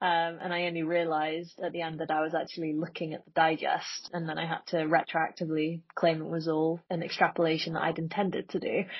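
Speaking at a very fast pace with hardly any pauses, a woman keeps a fairly low pitch and a monotone, flat intonation. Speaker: podcast guest. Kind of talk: casual chat.

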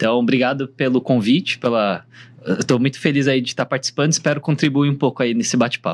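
A man at a medium pitch, talking at a very fast pace with ordinary pitch variation. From Brazil. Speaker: startup founder. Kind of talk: panel discussion. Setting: recording room at a trade summit.

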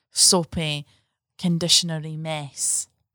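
A woman with a Scottish accent, in dry, close sound with no echo. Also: very clean recording, silent background. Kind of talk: casual chat. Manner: animated.

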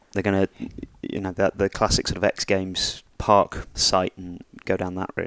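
With a British accent, a man speaks in monotone, flat intonation at a moderate pace. The sound is dry and close, with no echo. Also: fairly low pitch for a man. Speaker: podcast host. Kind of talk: casual chat.

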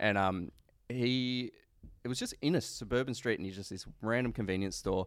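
In an Australian accent, a man speaks at a moderate pace and medium pitch with ordinary pitch variation and big swings in loudness. The recording is very clean, with a silent background. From Queanbeyan, NSW, Australia. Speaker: podcast co-host. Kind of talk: casual chat. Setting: studio.

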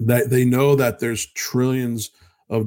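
At a fairly slow pace and medium pitch, a man talks in an ordinary speaking voice. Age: 50s. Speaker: radio host and financial advisor. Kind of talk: casual radio talk.

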